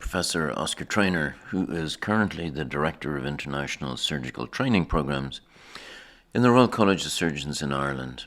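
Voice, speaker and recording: In a very clean recording with a silent background, a man speaks at a fairly quick pace in a very deep, low voice with vocal fry. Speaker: podcast host, surgeon. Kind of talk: podcast introduction.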